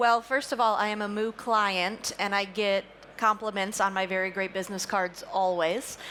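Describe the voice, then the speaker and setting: Speaking with an American accent at a moderate pace, a woman has an unremarkable speaking voice with medium pitch and fairly even intonation. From United States. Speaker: company founder and CEO. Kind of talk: live panel discussion. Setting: stage with audience.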